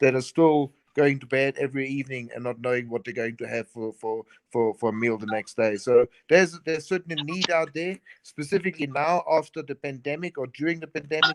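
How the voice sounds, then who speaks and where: In a South African accent, a man speaks at a fairly high pitch with ordinary pitch variation and big swings in loudness, the sound dry and close with no echo. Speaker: chef and event organizer. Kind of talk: casual interview chat. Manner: halting, many repetitions.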